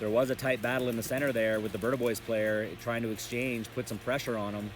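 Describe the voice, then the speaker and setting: Music plays behind a man speaking at a very fast pace. His pitch is medium and his tone animated. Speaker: paintball commentator. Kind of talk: live commentary.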